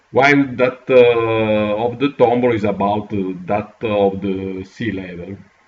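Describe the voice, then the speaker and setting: A man with an Italian accent, fairly low in pitch, at a fairly slow pace with fairly even intonation and hardly any pauses. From Italy. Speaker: geography educator. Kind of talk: tutorial. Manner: halting, many fillers.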